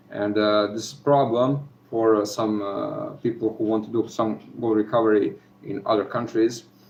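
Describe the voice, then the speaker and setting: Speaking at a fairly slow pace with fairly even intonation, a man talks in a Serbian accent. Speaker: gold recovery hobbyist youtuber. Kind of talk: live stream chat. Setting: live video from home. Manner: halting, many fillers.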